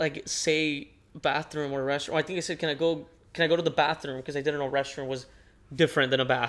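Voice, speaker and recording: A man talks in a monotone, with flat intonation and a Spanish accent. The recording is very clean, with a silent background. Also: fairly high pitch for a man, fairly quick pace. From northern Mexico border (Nogales, Sonora). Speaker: podcast co-host. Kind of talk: casual chat. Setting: living room.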